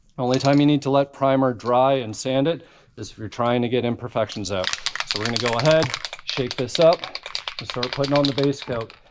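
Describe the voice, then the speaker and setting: Against noticeable background noise, a man speaks at a fairly quick pace and medium pitch, his intonation fairly even but his loudness swinging a lot. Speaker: car restoration YouTuber. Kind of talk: tutorial. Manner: casual.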